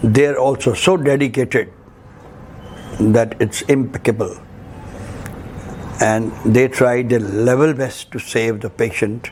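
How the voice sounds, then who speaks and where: A man talks at a very slow pace with long, frequent pauses and fairly even intonation, over noticeable background noise. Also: medium pitch for a man. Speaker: trade and commerce advisor. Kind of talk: patient family testimonial.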